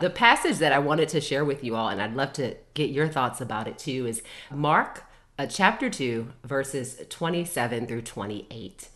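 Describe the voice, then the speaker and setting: Speaking fairly slowly, a woman uses a very deep, low voice with lively intonation. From US, Baltimore, Maryland. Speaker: mental health therapist and educator. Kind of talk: casual group Bible study discussion.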